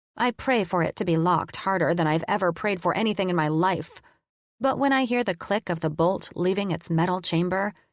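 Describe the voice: Against a quiet background, the text gets plain reading aloud.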